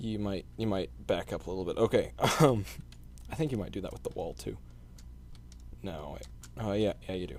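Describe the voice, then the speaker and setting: Speaking at a fairly quick pace yet with long, frequent pauses, a man with a fairly low pitch shows vocal fry, very wide pitch swings and big swings in loudness. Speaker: indie game developer. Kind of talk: gameplay walkthrough. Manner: hesitant, many fillers.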